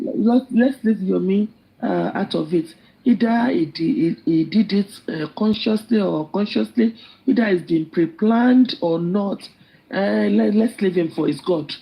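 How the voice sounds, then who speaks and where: Speaking fairly slowly with a Nigerian accent, a woman has a dark, mellow, somewhat breathy tone and lively intonation. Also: medium pitch for a woman. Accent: Nigerian (Yoruba) English. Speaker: live stream participant. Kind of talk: impassioned speech in live group chat. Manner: halting.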